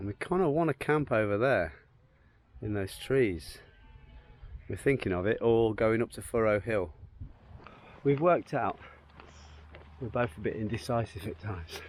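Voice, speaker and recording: Music plays in the background as a man talks at a medium pitch and a moderate pace. His intonation is lively, broken by long, frequent pauses. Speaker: travel vlogger. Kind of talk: casual vlog narration. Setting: outdoors.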